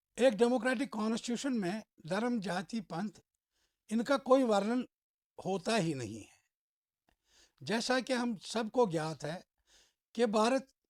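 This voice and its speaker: Dry and close with no echo, this very clean recording with a silent background captures a man speaking at a high pitch. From Kashmir, India. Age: 60s. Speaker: social commentator. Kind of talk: opinion monologue.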